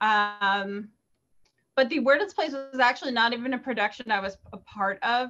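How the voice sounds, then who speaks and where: A woman with an American accent, fairly high in pitch, bright and sharp in tone, at a moderate pace with ordinary pitch variation. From Los Angeles. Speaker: former film crew member and podcaster; podcaster. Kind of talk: casual chat. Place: home room. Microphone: headset.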